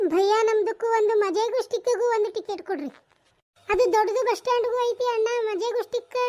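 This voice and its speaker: A woman's cartoonish character voice at an extremely high pitch, with fairly even intonation and a moderate pace. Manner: brash, scolding.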